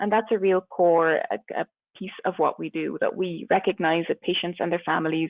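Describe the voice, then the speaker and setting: The speaker has a slight Irish accent. The pace is moderate. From Ireland. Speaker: palliative care physician. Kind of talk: webinar presentation. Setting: webinar.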